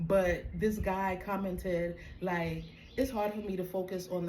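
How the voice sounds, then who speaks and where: A woman in a Caribbean accent, fairly slow and fairly even in intonation, with noticeable background noise and audible room echo. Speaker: spiritual coach. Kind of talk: casual monologue.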